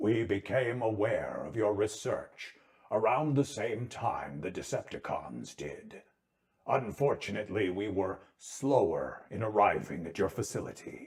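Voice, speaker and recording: A man uses a put-on character voice at a medium pitch. He talks at a moderate pace. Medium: read story. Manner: formal, measured, compassionate.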